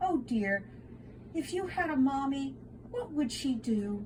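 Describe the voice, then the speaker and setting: Over clear background noise, a woman uses a put-on character voice, high in pitch and fairly slow in pace. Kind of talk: bedtime story. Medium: read story. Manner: warm, gentle.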